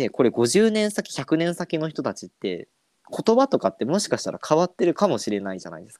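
This man talks at a fairly quick pace with a fairly high pitch, his loudness swinging widely and his pitch moving across a very wide range. The sound is dry and close, with no echo. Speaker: podcast host. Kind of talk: casual chat.

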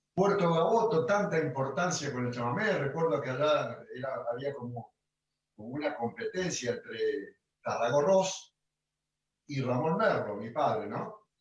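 Fairly high male voice, very wide pitch swings, fairly slow pace. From Argentina, Rosario (Santa Fe). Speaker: chamamé accordionist. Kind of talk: interview. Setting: video call. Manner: halting, many repetitions.

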